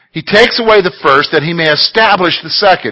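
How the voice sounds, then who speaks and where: Here a man speaks with a high pitch. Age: 40s. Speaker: Bible teacher. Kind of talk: Bible study teaching. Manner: conversational.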